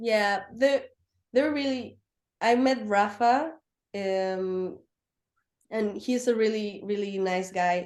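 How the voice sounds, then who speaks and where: This woman speaks at a very slow pace in a Spanish accent, with long, frequent pauses. Her pitch is fairly high, with ordinary variation. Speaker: racing driver and motorsport technician. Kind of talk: interview. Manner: halting, many fillers.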